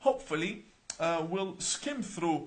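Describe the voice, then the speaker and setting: A man with an Arabic accent speaks at a moderate pace in a high voice. His intonation is lively over noticeable background noise. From Australia (born Iran, Iraqi family). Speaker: imam. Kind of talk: live-stream announcement to viewers. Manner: animated, many rhetorical questions.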